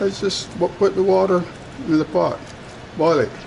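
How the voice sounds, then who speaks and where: Lively intonation carries this fairly slow delivery over noticeable background noise. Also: man. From Barbados. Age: 80s+. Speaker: retired engineer, home cook. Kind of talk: cooking demonstration.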